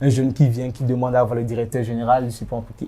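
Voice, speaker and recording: A man speaks at a very fast pace in a somewhat breathy, dark, mellow voice of medium pitch. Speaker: association president. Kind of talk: interview. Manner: animated.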